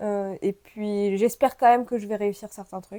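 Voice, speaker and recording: A woman speaks at a moderate pace with a dark, mellow tone. The recording is very clean with a silent background. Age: 30s. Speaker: YouTuber. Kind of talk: casual chat. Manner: hesitant, many fillers.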